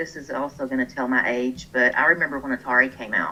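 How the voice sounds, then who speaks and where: Her pitch is very deep and low for a woman. Her tone is bright and sharp. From Texas, small town. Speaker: online gamer, clan leader. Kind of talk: interview. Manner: chatty.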